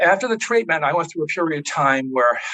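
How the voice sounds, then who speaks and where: A man speaks with an American accent and lively intonation. His tone is bright and sharp. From Massachusetts, Boston area. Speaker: patient giving testimonial. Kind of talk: testimony. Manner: hesitant, with fillers and repetitions.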